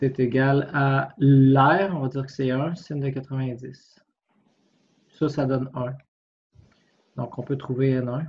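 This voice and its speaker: Very slow speech from a man at a medium pitch, with fairly even intonation. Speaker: physics tutor. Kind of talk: tutorial. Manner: informal, hesitant thinking aloud.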